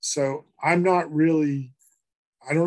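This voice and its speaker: A man with an American accent, fairly high pitch and fairly even intonation. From Massachusetts (Worcester). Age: 60s. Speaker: author and professor. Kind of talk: interview. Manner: halting, many fillers.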